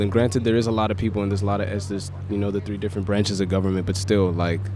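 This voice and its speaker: A man with an American accent speaks at a very fast pace in a fairly low voice. Room echo and noticeable background noise are audible. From US, Mexican-American family. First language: Spanish. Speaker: street interview guest. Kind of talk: casual chat. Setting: outdoors on a city street.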